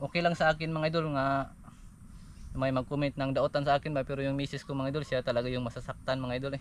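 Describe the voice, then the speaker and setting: Speaking at a very fast pace, a man with a fairly high pitch keeps a monotone, flat intonation. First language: Cebuano/Bisaya (speaking Tagalog). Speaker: vlogger. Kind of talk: casual vlog monologue. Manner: halting.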